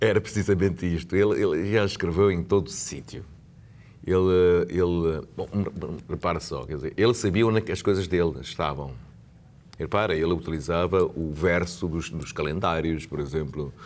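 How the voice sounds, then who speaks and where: Vocal fry in a man's very deep, low voice, moving at a moderate speed. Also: ordinary pitch variation. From Macau. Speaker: lawyer and Macanese culture advocate. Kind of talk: TV interview. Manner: halting, many repetitions.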